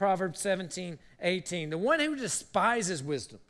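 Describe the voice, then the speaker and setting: Over audible room echo, a man speaks fairly slowly at a high pitch, his bright, sharp tone moving in very wide pitch swings. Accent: American. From South Carolina. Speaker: university president and guest preacher. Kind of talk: sermon. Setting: church service with congregation.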